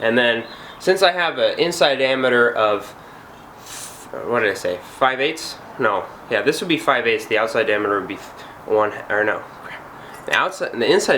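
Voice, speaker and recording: Amid noticeable background noise, a man talks with long, frequent pauses. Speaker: DIY go-kart builder, student. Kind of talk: casual workshop tutorial. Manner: hesitant, with fillers.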